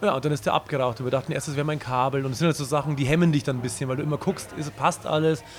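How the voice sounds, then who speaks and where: This man's voice is pitched fairly high for a man. He talks at a very fast pace. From Bavaria. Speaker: punk band singer and guitarist. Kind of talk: casual interview. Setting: live stream.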